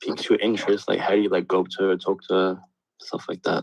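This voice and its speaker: A man with an Australian accent, his sound dry and close with no echo. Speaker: caller. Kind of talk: question on video call. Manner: halting with many fillers.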